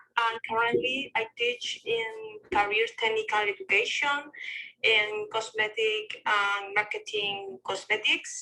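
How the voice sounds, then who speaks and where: Her pitch is fairly high and her tone bright and sharp, with a non-native accent and fairly even intonation. The woman speaks at a very slow pace with very even loudness. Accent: non-native English, sounds fine. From Spain. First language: Spanish. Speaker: cosmetics teacher. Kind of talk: self-introduction. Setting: audio chat room app. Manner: halting.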